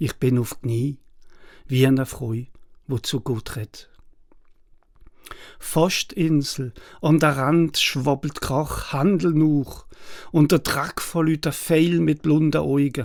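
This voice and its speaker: Very slowly and with long, frequent pauses, a man speaks in a fairly high pitch with an Alsatian accent, on a very clean recording with a silent background. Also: ordinary pitch variation. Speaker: poet and translator. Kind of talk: poetry reading.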